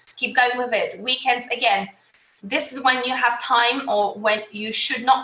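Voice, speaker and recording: With a Polish accent, a woman speaks in a fairly even intonation. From Poland. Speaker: qualified accountant and mother. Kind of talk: interview.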